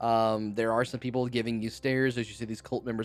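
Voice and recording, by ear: The passage is read aloud in a natural voice.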